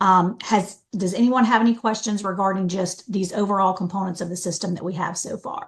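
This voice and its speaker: Somewhat breathy and medium-pitched, a woman speaks fairly quickly with hardly any pauses and fairly even intonation. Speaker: software trainer. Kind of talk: training webinar. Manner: fast.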